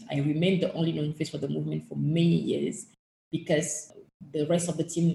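A woman's voice sits at a very deep, low pitch with vocal fry. Her tone is dark and mellow. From Togo. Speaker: human rights activist. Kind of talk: interview.

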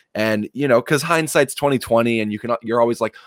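A man with a normal speaking voice talks at a fairly quick pace in a medium pitch, the sound dry and close with no echo. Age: 20s. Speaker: pro wrestler. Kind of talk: casual interview.

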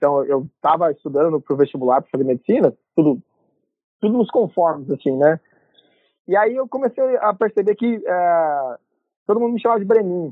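With long, frequent pauses, a man talks at a moderate pace and a high pitch, his pitch swinging very widely. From Brazil, Paraná (Londrina). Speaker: health systems researcher. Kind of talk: casual interview. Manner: informal, casual slang.

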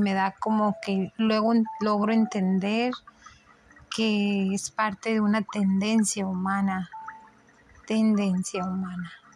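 A woman at medium pitch with a monotone, flat intonation and a fairly slow pace. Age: 40s. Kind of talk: religious reflection monologue. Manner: halting.

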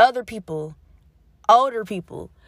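A woman with a fairly high pitch speaks in an unremarkable speaking voice. The recording is very clean, with a silent background. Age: young. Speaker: podcast host. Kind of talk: casual monologue.

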